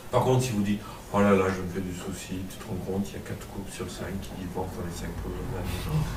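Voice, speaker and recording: A man with a Marseille accent talks at a fairly quick pace, with hardly any pauses, very deep, low pitch and big swings in loudness. Room echo is audible and background noise is noticeable. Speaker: pastor / Bible teacher. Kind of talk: teaching sermon to a class. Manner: animated, interactive.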